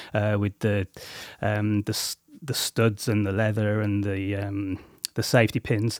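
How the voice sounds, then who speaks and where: A man's fairly low, monotone voice with flat intonation and a West Midlands accent, at a moderate pace, dry and close with no echo, on a very clean recording with a silent background. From English Midlands (Coventry). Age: 40s. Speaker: musician. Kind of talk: interview. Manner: halting, many fillers.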